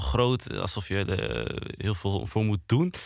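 A fairly low-pitched man at a fairly slow pace, with ordinary pitch variation, on a very clean recording with a silent background. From Netherlands, Apeldoorn. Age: 20s. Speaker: presenter and content creator. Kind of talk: podcast conversation. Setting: studio. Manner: hesitant, many fillers.

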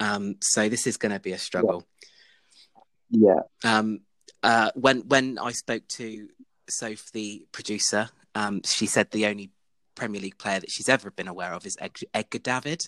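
Fairly low male voice with long, frequent pauses and big swings in loudness, dry and close with no echo, in a very clean recording over a silent background. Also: fairly even intonation, moderate pace. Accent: English. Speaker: podcast host. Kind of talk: casual chat among friends, recorded live. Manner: chatty, informal.

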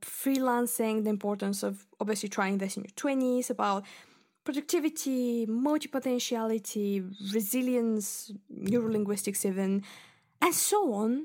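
On a very clean recording with a silent background, a woman with a Bulgarian accent speaks at a fairly high pitch. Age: 20s. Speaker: podcast host, literature student. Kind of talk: solo podcast monologue. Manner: chatty, frequent laughs and fillers.

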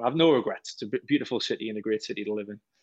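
Against a quiet background, a man talks at a very fast pace. He has a slight Geordie accent. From Wallsend, Newcastle, north-east England. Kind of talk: casual radio interview.

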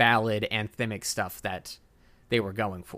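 Recorded very cleanly against a silent background, a man with an American accent speaks in a bright, sharp tone at a medium pitch and a fairly slow pace, with ordinary pitch variation. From Texas. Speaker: podcast host, filmmaker. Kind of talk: casual chat.

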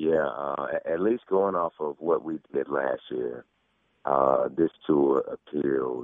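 A man with a Southern US accent speaks at a very slow pace. His voice is very deep and low, with ordinary pitch variation. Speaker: pastor. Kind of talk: radio interview. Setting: studio.

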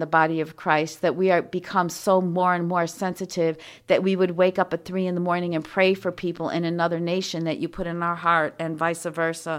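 A woman's fairly low voice at a moderate pace, with monotone, flat intonation. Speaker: prayer podcaster. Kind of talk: fervent intercessory prayer. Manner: earnest, pleading, rising to commanding declarations; soothing, reassuring.

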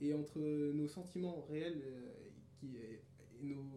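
A man's fairly high voice at a very slow pace, with ordinary pitch variation, noticeable background noise and audible room echo. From France, Paris region (Pontoise), childhood years in Cameroon. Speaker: musician. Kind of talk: casual interview.

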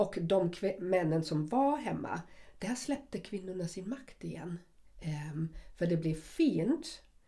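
At a fairly slow pace, a woman with a dark, mellow, somewhat breathy tone speaks at medium pitch with very wide pitch swings. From West Germany. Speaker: podcast co-host. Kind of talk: casual chat.

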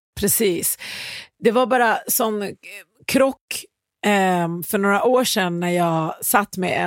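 This woman has a medium pitch and ordinary pitch variation. The recording is very clean, with a silent background. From Iran. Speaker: podcast host, music industry professional. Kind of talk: casual chat.

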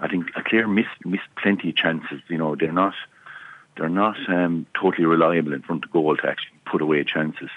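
With an Irish accent, a man speaks fairly quickly in a very deep, low voice and fairly even intonation. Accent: Tipperary Irish. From Ireland, County Tipperary. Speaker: former hurler, pundit. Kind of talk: casual chat. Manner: halting.

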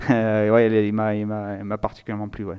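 Against a quiet background, a man speaks at a moderate pace with a fairly low pitch and a dark, mellow tone. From Nice, southern France. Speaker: theology student. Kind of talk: interview. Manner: halting.

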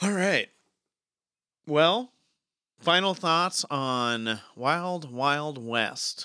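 A man's fairly high, bright, sharp voice with an American accent, lively intonation, a very slow pace and long, frequent pauses. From California. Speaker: podcast host. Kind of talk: casual chat.

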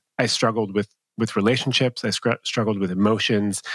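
Recorded dry and close with no echo, a man of medium pitch talks at a fairly quick pace in a normal speaking voice. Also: very clean recording, silent background. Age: 30s. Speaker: love coach. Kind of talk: casual chat.

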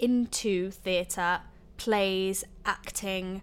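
A woman's bright, sharp tone on a very clean recording with a silent background. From Lincolnshire, England. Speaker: theatre graduate-festival co-founder. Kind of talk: casual interview chat.

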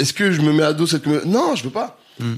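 Here is an unremarkable speaking voice. It moves at a moderate pace with lively intonation. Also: man. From France, Grenoble area. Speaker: musician and entertainer. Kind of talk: casual chat.

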